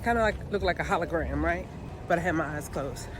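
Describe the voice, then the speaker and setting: The room echo is audible. The speaker is a woman. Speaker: YouTuber sharing personal experience. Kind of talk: personal testimony. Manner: conversational, emotional.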